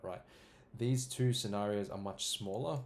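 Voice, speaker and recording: A man speaks in a normal speaking voice, pitched fairly low. His pace is fairly quick, with ordinary pitch variation. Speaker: crypto market analyst. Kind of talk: chart analysis tutorial.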